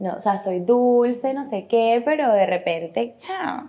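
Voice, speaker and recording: Lively intonation runs through this speech, delivered at a very slow pace. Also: woman. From Venezuela. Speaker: actress and model. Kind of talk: casual interview chat.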